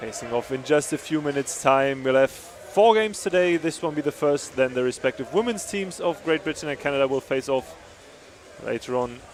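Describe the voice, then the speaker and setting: Against noticeable background noise, a man with a German accent talks at a fairly quick pace, his fairly high pitch carried by lively intonation. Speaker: sports commentator. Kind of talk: live commentary.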